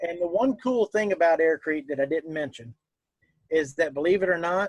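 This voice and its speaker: A man with a Southern US accent speaks at a moderate pace in a high pitch, his pitch moving in an ordinary way, recorded dry and close with no echo. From US South. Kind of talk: interview.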